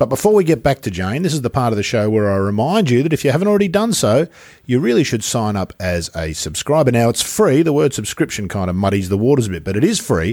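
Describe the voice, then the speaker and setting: A man with an Australian accent at a medium pitch, talking at a very fast pace with hardly any pauses and very wide pitch swings, on a very clean recording with a silent background. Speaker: podcast host. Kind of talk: casual interview.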